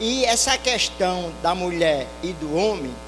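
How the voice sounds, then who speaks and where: A man speaks in a high voice with lively intonation. Room echo is audible, along with noticeable background noise. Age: 60s. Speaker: audience member. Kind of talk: public remarks at panel discussion.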